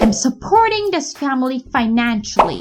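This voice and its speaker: The speaker has a non-native accent and talks at a fairly slow pace with very wide pitch swings. Music plays in the background. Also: woman. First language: not English. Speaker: English teacher. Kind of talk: tutorial.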